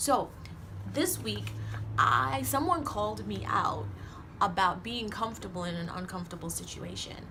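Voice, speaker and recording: In a Caribbean accent, a woman speaks at a fairly slow pace amid audible room echo. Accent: Caribbean accent, noticeable on some words. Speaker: motivational vlogger. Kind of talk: motivational talk to camera. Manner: casual, conversational with fillers.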